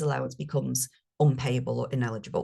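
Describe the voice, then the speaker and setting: A woman with a northern English accent speaks in a somewhat breathy voice. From northern England. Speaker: speaker on carers' benefits. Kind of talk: webinar presentation. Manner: animated.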